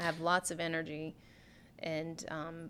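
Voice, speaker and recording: The recording is very clean with a silent background as a woman speaks at a fairly slow pace in a fairly low pitch. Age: 40s. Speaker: yoga studio owner. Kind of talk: radio interview. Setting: studio.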